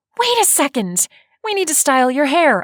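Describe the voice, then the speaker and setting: A woman puts on a shrill character voice, high in pitch with very wide pitch swings. She keeps a moderate pace in a dry, close sound with no echo. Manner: shrieking, excited.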